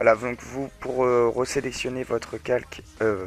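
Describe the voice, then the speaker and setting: Music plays in the background as a man speaks at a medium pitch. His pace is fairly slow and his intonation monotone and flat. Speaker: tutorial youtuber. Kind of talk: tutorial. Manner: hesitant, many fillers.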